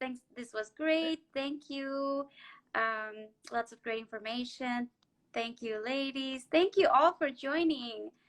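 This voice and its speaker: Raising and projecting her high voice, a woman speaks with a Spanish accent and a bright, sharp tone. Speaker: therapist and show host. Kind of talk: live-stream interview.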